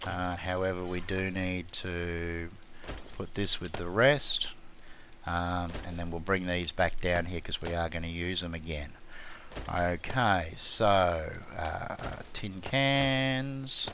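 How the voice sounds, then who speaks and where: A man with an Australian accent, very deep and low in pitch, at a very slow pace with ordinary pitch variation and audible room echo. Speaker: gaming YouTuber. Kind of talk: gameplay commentary tutorial. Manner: casual, hesitant fillers.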